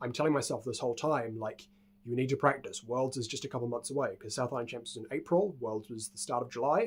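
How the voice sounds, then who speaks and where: A medium-pitched male voice with a New Zealand accent. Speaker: speedcuber. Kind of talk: casual talk to camera.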